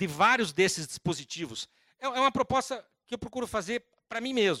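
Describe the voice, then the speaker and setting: A man's raised, projected voice at a high pitch, bright and sharp in tone, with lively intonation, a moderate pace, and a dry, close sound with no echo. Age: 60s. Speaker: law professor and lawyer. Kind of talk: lecture.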